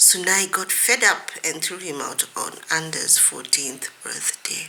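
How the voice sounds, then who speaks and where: A woman whispers very slowly, and noticeable background noise fills the recording. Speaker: author. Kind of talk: reading aloud.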